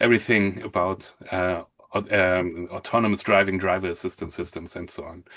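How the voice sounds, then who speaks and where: With a strong German accent, a man speaks in a flat monotone at a moderate pace over a quiet background. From Germany, Hamburg. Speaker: mortgage consultant. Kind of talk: webinar presentation. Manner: halting.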